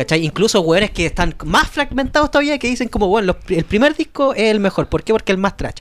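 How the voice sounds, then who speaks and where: A man with a Chilean accent talks very fast at a high pitch, his voice swinging very widely up and down. There is noticeable background noise. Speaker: podcast co-host. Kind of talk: casual chat.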